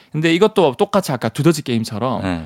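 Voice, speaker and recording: A man speaks with very wide pitch swings. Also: very clean recording, silent background. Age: 30s. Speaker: science communicator. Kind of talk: radio science segment.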